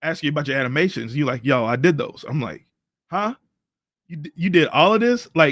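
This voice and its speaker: At a moderate pace, a man with a fairly high pitch talks with lively intonation, the sound dry and close with no echo in a very clean recording with a silent background. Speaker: live stream host. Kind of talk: casual chat. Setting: live stream. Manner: loud, boisterous; animated.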